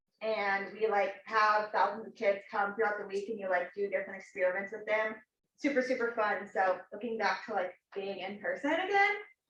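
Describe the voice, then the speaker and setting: With fairly even intonation, an ordinary speaking voice goes along at a fairly quick pace. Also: woman, medium pitch for a woman. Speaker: student club officer. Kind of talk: club meeting introduction.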